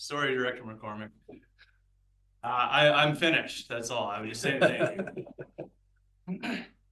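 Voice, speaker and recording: With long, frequent pauses, a man speaks at a moderate pace and medium pitch, his intonation lively and his loudness swinging widely. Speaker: board chair. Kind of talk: council meeting. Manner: quiet.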